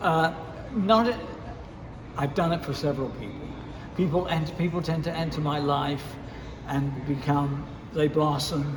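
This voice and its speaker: Amid audible room echo and noticeable background noise, a man speaks at a moderate pace and fairly high pitch, with ordinary pitch variation and long, frequent pauses. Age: 80s+. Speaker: radio DJ and music producer. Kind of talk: interview. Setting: lounge, in person.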